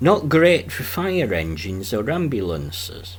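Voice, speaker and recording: A man with a strong Yorkshire accent, very slow and somewhat breathy, his pitch swinging very widely. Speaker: travel vlogger. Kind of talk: documentary travel narration.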